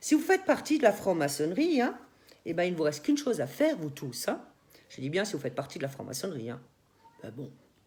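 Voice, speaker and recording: Animated in tone, a woman talks at a very fast pace, with long, frequent pauses and big swings in loudness. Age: 60s. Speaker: YouTuber. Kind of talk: personal rant video.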